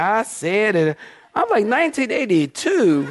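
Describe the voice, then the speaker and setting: A man's high-pitched voice in an animated tone, with noticeable background noise. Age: 50s. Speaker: pastor. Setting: church with live congregation. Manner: animated, emphatic preaching with repeated words and stammered restarts.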